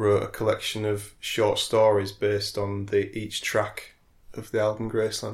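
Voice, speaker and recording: A man speaks in a fairly low pitch at a moderate pace. His intonation is monotone and flat, and his voice is somewhat breathy. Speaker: podcast co-host. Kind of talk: casual chat.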